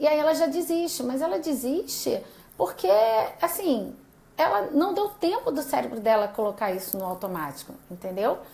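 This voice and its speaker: Audible room echo surrounds a woman speaking at a moderate pace. Her pitch is high and swings very widely. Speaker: doctor giving a live class. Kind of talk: live-stream lecture. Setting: live video stream.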